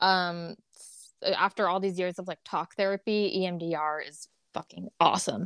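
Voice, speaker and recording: A woman in an ordinary speaking voice talks at a moderate pace and medium pitch, with fairly even intonation and big swings in loudness, in a very clean recording with a silent background and a dry, close sound with no echo. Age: 30s. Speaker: guest sharing life story of cult abuse and recovery. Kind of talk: casual interview chat.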